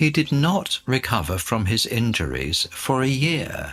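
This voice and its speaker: With music in the background, a man speaks at a very slow pace with very wide pitch swings. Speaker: radio host. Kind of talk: reading aloud. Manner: clear.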